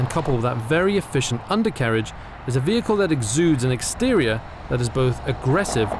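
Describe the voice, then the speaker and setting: Over noticeable background noise, a man with a medium-pitched voice talks at a fairly quick pace, with lively intonation and very even loudness. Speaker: car reviewer. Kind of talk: scripted narration.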